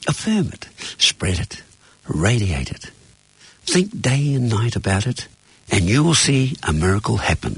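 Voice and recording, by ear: A man talks fairly slowly with a fairly low pitch and a husky, rough edge. His pitch swings are big, and his pauses are long and frequent.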